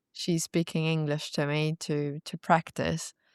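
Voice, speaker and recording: A woman's very deep, low voice with a non-native accent, at a very slow pace, with a dry, close sound with no echo and a very clean recording against a silent background. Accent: non-native English, now fluent. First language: not English. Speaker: former content creator. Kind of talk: casual interview chat.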